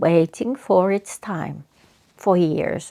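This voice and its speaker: A woman speaks very slowly with a Finnish accent and a dark, mellow tone. The recording is very clean with a silent background. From Finland. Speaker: psychotherapist. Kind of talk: reflective talk. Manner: halting.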